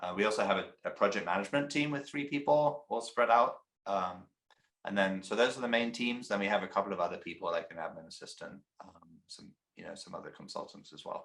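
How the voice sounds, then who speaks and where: A man with an English accent talks at a very fast pace. His loudness swings widely. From England. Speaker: company CEO. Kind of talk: interview.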